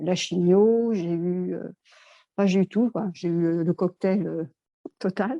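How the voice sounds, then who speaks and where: The speech moves at a moderate pace. The intonation stays fairly even. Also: woman. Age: 60s. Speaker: customer giving testimonial. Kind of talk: testimony. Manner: halting, many hesitations.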